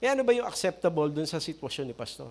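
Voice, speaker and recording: This man's voice is high-pitched. The intonation rises and falls in a lively way. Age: 60s. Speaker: pastor. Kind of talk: sermon.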